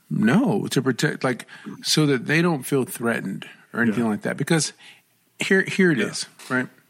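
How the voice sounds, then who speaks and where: On a very clean recording with a silent background, a man talks at a moderate pace in a fairly high pitch with vocal fry. His intonation is lively, and he leaves long, frequent pauses. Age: 30s. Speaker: podcast co-host. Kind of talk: casual chat. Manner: halting.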